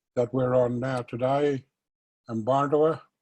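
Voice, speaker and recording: Monotone, flat intonation from a man with a medium-pitched voice. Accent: Australian. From Australia, Northern Territory (Alice Springs). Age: 60s. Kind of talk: personal testimony. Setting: virtual conversation.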